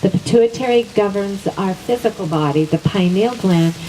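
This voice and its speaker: A woman speaking at a fairly slow pace over noticeable background noise. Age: 60s. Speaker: wellness teacher. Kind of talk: teaching talk.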